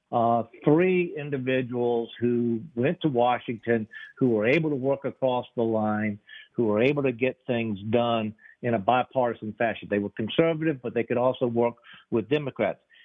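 Music plays in the background. A man with an American accent speaks at a medium pitch. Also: ordinary pitch variation, moderate pace. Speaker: former state legislator. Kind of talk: political discussion.

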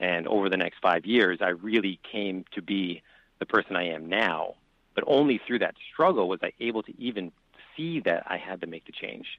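A man with a normal speaking voice, fairly low pitch, ordinary pitch variation, a moderate pace and big swings in loudness. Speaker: financial advisor. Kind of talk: interview.

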